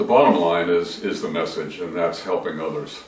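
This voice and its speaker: Speech moves at a moderate pace through noticeable background noise. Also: man. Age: 70s. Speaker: author and depression survivor. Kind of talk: interview. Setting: video interview.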